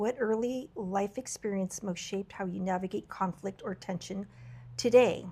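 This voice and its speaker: The voice has a dark, mellow tone and sounds somewhat breathy. Its pitch variation is ordinary. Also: woman, medium pitch for a woman, moderate pace. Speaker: podcast host. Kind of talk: casual interview chat. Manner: conversational with fillers.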